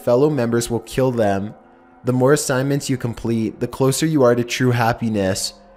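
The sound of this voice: The clip presents an unforced reading voice.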